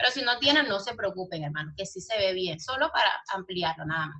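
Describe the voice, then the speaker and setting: Her fairly high voice moves at a fairly quick pace, as this woman speaks in an animated tone with lively intonation. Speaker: Bible school teacher. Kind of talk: online lecture.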